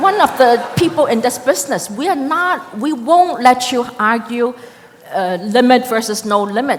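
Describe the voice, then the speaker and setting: A woman with a high pitch and lively intonation is heard with audible room echo and noticeable background noise. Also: moderate pace. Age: 60s. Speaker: immigration lawyer, audience member asking a question. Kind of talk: audience question at a panel. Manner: animated.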